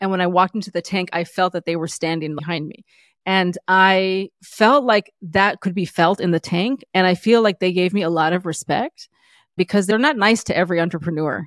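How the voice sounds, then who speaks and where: A woman with a normal speaking voice and a medium pitch talks at a fairly quick pace with ordinary pitch variation, in a dry, close sound with no echo. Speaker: entrepreneur and former musician. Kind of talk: interview.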